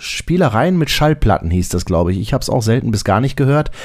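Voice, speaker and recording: Vocal fry runs through a man's medium-pitched voice as it moves in very wide pitch swings. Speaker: podcast host. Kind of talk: podcast monologue. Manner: casual.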